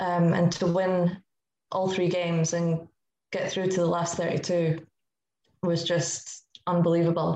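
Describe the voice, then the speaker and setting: A woman speaks with a Scottish accent, a fairly low pitch and a dark, mellow tone. Her intonation is monotone and flat, and her pace is fairly slow. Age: 20s. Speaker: football goalkeeper. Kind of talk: podcast interview.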